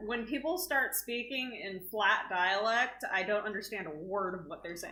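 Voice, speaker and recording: Lively intonation marks this voice with an American accent, heard with audible room echo. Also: woman. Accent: Texan accent, thick at times. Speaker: co-host. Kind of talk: casual chat.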